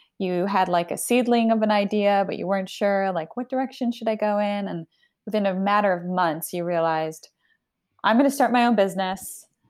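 A woman talks in a normal speaking voice at a medium pitch. Her pace is fairly quick, with ordinary pitch variation. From Argentina, raised in Canada and US. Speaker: author and women's leadership coach. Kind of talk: casual chat. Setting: remote call, at home.

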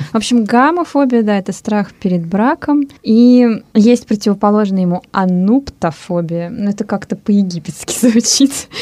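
Lively in intonation, a woman with an unremarkable speaking voice talks at a fairly high pitch and a moderate pace. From Russia. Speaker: radio host. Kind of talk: casual chat. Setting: studio.

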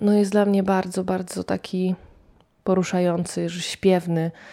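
Her tone dark and mellow, a woman speaks at a medium pitch and moderate pace with monotone, flat intonation. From Poland, near Lublin (Poniatowa). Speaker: radio reporter and early music cellist. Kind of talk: personal storytelling.

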